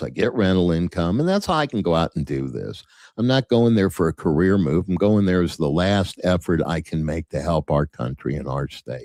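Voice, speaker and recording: On a very clean recording with a silent background, a man with a very deep, low pitch speaks at a moderate pace, animated in tone with lively intonation and a dry, close sound with no echo. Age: 70s. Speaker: political candidate. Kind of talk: interview.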